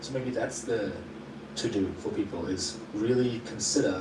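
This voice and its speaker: Over noticeable background noise and audible room echo, a man speaks with ordinary pitch variation. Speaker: YouTuber interviewer. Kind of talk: interview conversation. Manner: fast; sometimes stumbling over words.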